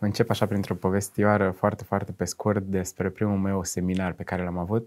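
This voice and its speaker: The setting behind the voice is quiet. A man speaks at a moderate pace. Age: young. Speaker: university lecturer. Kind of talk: interview. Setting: studio. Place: studio.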